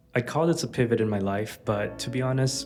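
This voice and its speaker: A man with an American accent at a moderate pace, ordinary pitch variation, music in the background. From Los Angeles. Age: 30s. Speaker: app founder. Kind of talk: personal vlog talk to camera.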